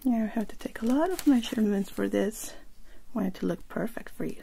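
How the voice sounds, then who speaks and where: A soft-spoken, somewhat breathy woman at a fairly quick pace, with ordinary pitch variation. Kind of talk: soft role-play talk to viewer. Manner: soft, hushed close-up ASMR talk. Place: home room. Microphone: webcam.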